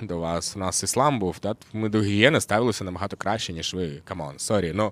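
Speaking at a fairly quick pace in a Russian accent, a man shows ordinary pitch variation. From Kyrgyzstan, Russian-speaking. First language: Russian (speaking Ukrainian). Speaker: journalist. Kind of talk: casual chat. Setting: yurt.

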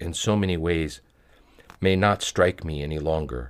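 Vocal fry runs through a man's very deep, low voice at a moderate pace. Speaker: reader of spiritual texts. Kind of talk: reading aloud of a prayer text, fervent supplication. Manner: earnest, devout pleading tone in the prayer passage.

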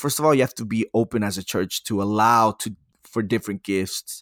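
A man talks in a normal speaking voice at a moderate pace and medium pitch. The sound is dry and close with no echo, and the recording is very clean with a silent background. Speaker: podcast host. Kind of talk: casual podcast chat about church topics. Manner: casual, friendly.

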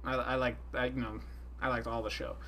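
A man's voice with audible room echo. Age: 20s. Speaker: resident fan expert. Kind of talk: casual chat. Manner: halting, many fillers.

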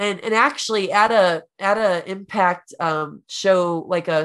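A woman's fairly low voice, a plain, everyday voice, in a quiet background. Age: 30s. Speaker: pro wrestler and video game streamer. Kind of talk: casual chat.

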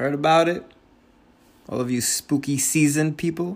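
A man with an American accent at a fairly high pitch, moderate pace with long, frequent pauses, on a very clean recording with a silent background. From New Jersey, Hudson County (Union City). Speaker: podcast host. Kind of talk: casual monologue. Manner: casual, rambling.

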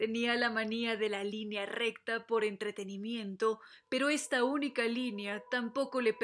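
The clip is someone reading aloud plainly. Their intonation holds fairly even.

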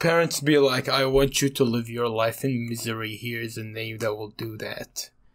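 A man with an ordinary speaking voice talks at a moderate pace and medium pitch, with fairly even intonation and hardly any pauses. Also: big swings in loudness. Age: 20s. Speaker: podcast co-host. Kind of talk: casual chat.

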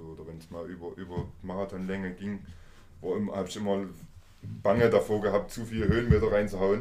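Audible room echo surrounds a man whose very deep, low voice has a dark, mellow tone, delivered at a moderate pace in a monotone, flat intonation. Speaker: podcast host. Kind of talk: casual interview. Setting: visiting guest in person.

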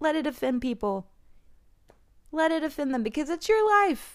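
A woman speaks at a high pitch with lively intonation. The recording is very clean and the background silent. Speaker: oracle card reader and skincare podcaster. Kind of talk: solo oracle card reading, casual talk to audience. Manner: casual, chatty, laughs often.

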